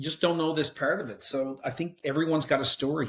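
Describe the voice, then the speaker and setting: A man with a Newfoundland accent speaks at a moderate pace, his voice somewhat breathy. The recording is very clean, with a silent background. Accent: Newfoundland accent, heard as Irish. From Newfoundland, Canada. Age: 50s. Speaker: sales author. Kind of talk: casual chat.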